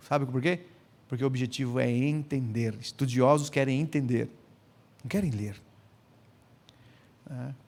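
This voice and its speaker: A man speaks here. His tone is animated. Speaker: pastor and biblical counseling speaker. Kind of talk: lecture. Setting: conference with audience. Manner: fast.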